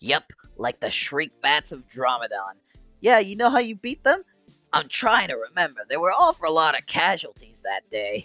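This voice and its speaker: This man talks in a put-on character voice at a moderate pace. Faint music plays in the background. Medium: game stream. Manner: folksy, rambling.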